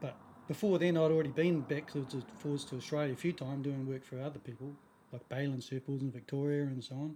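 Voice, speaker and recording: A man with a fairly high pitch and a dark, mellow tone, somewhat breathy. He talks at a very fast pace with fairly even intonation. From New Zealand. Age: 50s. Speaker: surfboard shaper. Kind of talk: casual interview.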